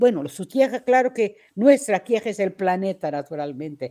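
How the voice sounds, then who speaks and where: On a very clean recording with a silent background, a woman of medium pitch speaks at a fairly slow pace in a dark, mellow tone with very wide pitch swings. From Portugal. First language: Portuguese (speaking Spanish). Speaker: poet. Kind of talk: interview. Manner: halting.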